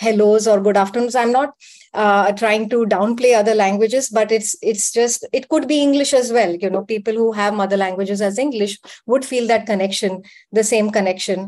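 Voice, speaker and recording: In a Gujarati accent, a woman speaks at a fairly quick pace and fairly high pitch, with fairly even intonation and very even loudness. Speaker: panelist. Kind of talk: panel debate. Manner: hesitant, many fillers.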